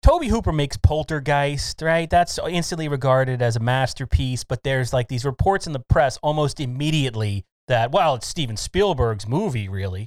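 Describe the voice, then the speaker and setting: A man speaks at a fairly quick pace with lively intonation and hardly any pauses, in a plain, everyday voice. The sound is dry and close, with no echo. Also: fairly high pitch for a man. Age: 40s. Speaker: reporter and podcast host. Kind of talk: interview.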